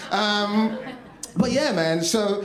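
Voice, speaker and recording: With an English accent, a man swings his pitch very widely amid audible room echo and noticeable background noise. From London, England. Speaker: comedian and storyteller. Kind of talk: stand-up storytelling. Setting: stage with audience. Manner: animated, chatty.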